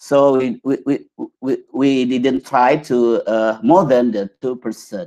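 Over a quiet background, a man speaks at a very slow pace in a dark, mellow tone with ordinary pitch variation. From Indonesia. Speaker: pharmacy researcher; conference presenter. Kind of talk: conference presentation. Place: home room. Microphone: webcam.

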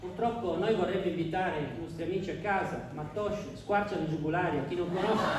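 Over noticeable background noise, a man talks in an animated tone at a fairly quick pace. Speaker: stand-up comedian. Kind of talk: stand-up comedy. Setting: stage with audience. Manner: animated, punchline-driven delivery with pauses for audience laughter; mock-serious, sarcastic.

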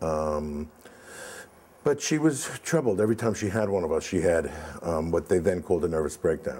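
A man with a very deep, low pitch and an American accent, lively intonation, and a moderate pace. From New York (Brooklyn, Far Rockaway); New York. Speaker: film producer; guest. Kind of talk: interview. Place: home room.

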